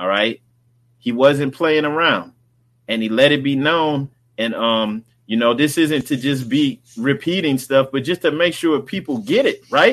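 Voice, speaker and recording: With an American accent, a man speaks in an unremarkable speaking voice at a fairly high pitch, showing ordinary pitch variation. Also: fairly slow pace. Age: 40s. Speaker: religious livestream host. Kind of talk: livestream talk on religious movement. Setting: live stream with chat. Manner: casual, repetitive filler.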